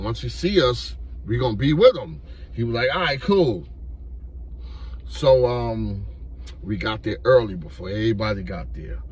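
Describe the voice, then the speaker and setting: An animated man at a moderate pace, with audible room echo. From New York. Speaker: YouTuber telling street stories. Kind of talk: storytelling monologue. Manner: casual, animated.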